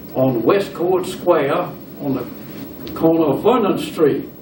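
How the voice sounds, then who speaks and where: With a Southern US accent and fairly high pitch, a man speaks at a very slow pace amid noticeable background noise and audible room echo. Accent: Southern US (Georgia). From US South, LaGrange, Georgia. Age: 80s+. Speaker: retired businessman, church member. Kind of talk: oral history interview.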